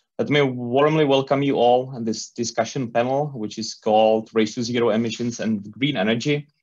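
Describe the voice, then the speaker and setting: A man talks at a moderate pace with fairly even intonation. The background is quiet. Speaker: panel moderator. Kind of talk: conference panel introduction. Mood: friendly, smiling. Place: office. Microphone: earbuds.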